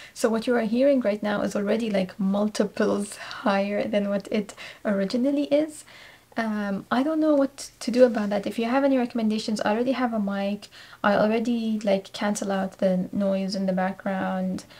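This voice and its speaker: Soft-spoken and fairly high in pitch, a woman talks at a moderate pace with ordinary pitch variation. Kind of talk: casual vlog talk. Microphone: quiet recording, amplified heavily in editing.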